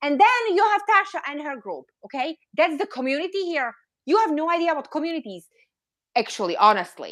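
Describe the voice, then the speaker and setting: Speaking with a non-native accent, a woman with a high pitch talks at a fairly quick pace in an animated tone, her voice showing very wide pitch swings and big swings in loudness. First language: not English. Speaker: reborn doll collector, YouTuber. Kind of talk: live stream discussion.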